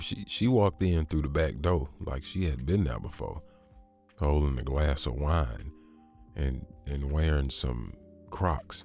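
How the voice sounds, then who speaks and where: A soft-spoken man with an American accent and a very deep, low pitch, fairly slow with long, frequent pauses and ordinary pitch variation, over music in the background. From Southern US. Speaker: ASMR storyteller. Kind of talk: sleep story. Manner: slow, soft.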